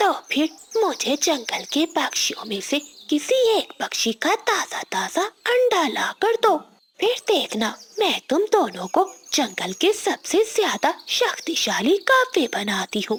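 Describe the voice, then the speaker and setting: Putting on a cartoonish character voice, a woman speaks at a fairly slow pace with an extremely high pitch and very wide pitch swings. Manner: sly, mocking, menacing.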